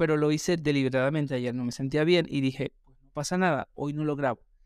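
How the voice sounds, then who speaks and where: This man's voice has ordinary pitch variation and a dry, close sound with no echo. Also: very clean recording, silent background. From Venezuela, Maracaibo. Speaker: podcaster. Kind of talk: personal monologue. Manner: hesitant, with fillers.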